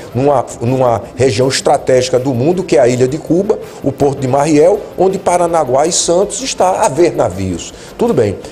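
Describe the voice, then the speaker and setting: Lively intonation and very even loudness, with music in the background. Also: man, fairly high pitch for a man, moderate pace. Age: 60s. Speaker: retired army colonel and lawyer, political commentator. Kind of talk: interview.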